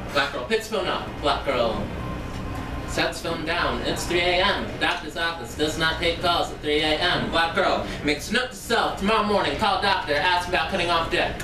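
Over noticeable background noise, a woman talks at a moderate pace with fairly low pitch and ordinary pitch variation. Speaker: spoken word poet. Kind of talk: performed spoken word poem, third-person incantatory litany. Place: bar.

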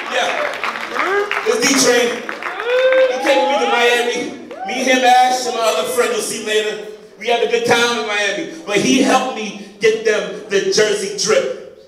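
A man at a fairly slow pace with ordinary pitch variation, audible room echo and crowd noise in the background. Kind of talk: comedic skit performance. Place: stage. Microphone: camera far.

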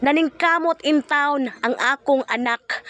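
A woman uses a raised, projected voice at a fairly slow pace, with ordinary pitch variation. The sound is dry and close with no echo. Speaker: family vlogger. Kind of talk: casual vlog narration.

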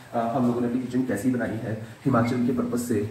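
A man with a medium pitch speaks in a room with audible echo and noticeable background noise. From Delhi, India. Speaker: vlogger. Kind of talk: casual vlog.

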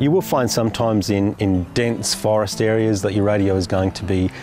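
A man talks at a fairly quick pace and fairly low pitch, with ordinary pitch variation. Clear music plays in the background, and the sound is dry with no echo. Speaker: presenter. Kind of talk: tutorial presentation to camera. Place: open country. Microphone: lapel.

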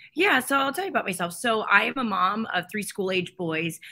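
A woman is talking here. She moves along at a fairly quick pace. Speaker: candidate. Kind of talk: interview answer. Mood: friendly, upbeat.

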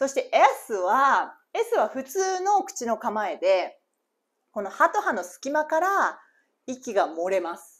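Against a quiet background, a woman speaks at a very slow pace with a high pitch, very wide pitch swings and big swings in loudness. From Japan. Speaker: English teacher. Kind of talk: reading aloud; tutorial. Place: home room. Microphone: lapel.

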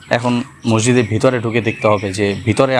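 A man speaks over noticeable background noise. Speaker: travel vlogger. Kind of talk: vlog narration.

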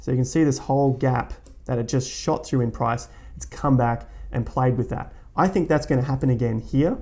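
The man speaks at medium pitch with ordinary pitch variation. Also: moderate pace, slightly mellow tone.

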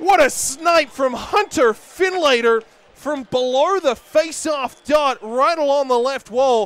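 A man is shouting in an energetic tone. Noticeable background noise sits behind him. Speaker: hockey play-by-play announcer. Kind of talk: live hockey play-by-play commentary, highlight reel. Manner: energetic, emphatic on goals.

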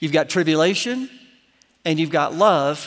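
A man with an American accent speaks with lively intonation against a quiet background. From Florida. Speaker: pastor. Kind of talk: sermon. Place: church.

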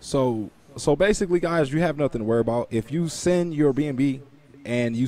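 A man's dark, mellow voice at a moderate pace, with ordinary pitch variation and a dry sound with no echo. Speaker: YouTube finance and crypto host. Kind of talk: interview (AMA). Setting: video call. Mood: friendly, reassuring. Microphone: video call.

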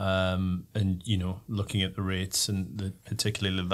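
Flat and monotone, a man's fairly low voice carries on. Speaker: panelist. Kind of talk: interview answer. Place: studio. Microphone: studio mic.

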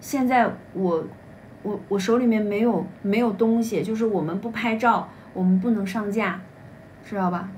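A woman at a moderate pace, her intonation fairly even, with long, frequent pauses and light background noise. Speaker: livestream seller. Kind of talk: live-stream sales pitch. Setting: livestream. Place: home room. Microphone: phone near.

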